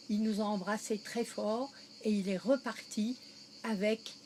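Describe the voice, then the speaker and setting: A woman speaks at a very slow pace with fairly even intonation and a fairly high pitch. Noticeable background noise runs through the clip. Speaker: interviewee recalling wartime childhood. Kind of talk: interview.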